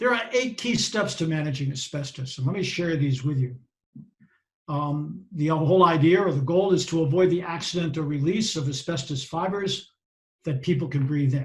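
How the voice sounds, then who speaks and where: This man has a Boston accent and a fairly high pitch. He speaks at a moderate pace with ordinary pitch variation. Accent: Boston American. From US Northeast (Boston). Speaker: safety and health professional. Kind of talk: presentation.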